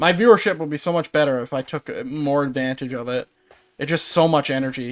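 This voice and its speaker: A man speaks very fast with a Newfoundland accent, his pitch fairly high with ordinary variation. The recording is very clean, with a silent background. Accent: Newfoundland accent, noticeable. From Newfoundland, Canada. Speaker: gaming streamer. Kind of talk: casual chat. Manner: halting.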